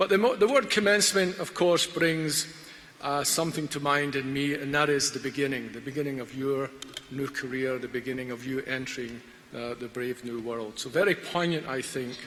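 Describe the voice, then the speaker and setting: A man with a fairly high voice speaks at a moderate pace, using ordinary pitch variation, while noticeable background noise carries on behind him. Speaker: graduation guest speaker. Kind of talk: ceremonial speech. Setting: graduation ceremony hall with audience.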